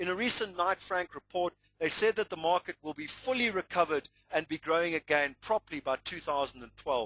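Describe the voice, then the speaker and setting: With a South African accent, a man with a high pitch and a bright, sharp tone talks at a fairly quick pace with lively intonation, the sound dry and close with no echo. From South Africa, Natal. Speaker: property investment presenter. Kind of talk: webinar presentation. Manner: animated.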